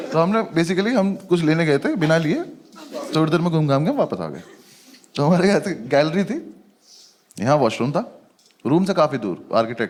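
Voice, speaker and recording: A fairly high-pitched man at a moderate pace, lively in intonation, with long, frequent pauses. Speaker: stand-up comedian. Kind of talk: stand-up comedy storytelling.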